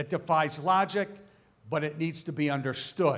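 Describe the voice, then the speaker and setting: The recording is very clean and the background silent. In it, a man talks with an American accent. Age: 60s. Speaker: speaker at a church event. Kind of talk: speech to an audience.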